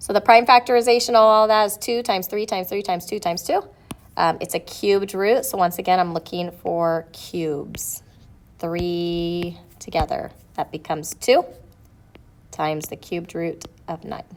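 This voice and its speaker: A woman talks at a moderate pace in a normal speaking voice. Her pitch is medium, with ordinary variation. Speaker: math teacher. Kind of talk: tutorial. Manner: casual.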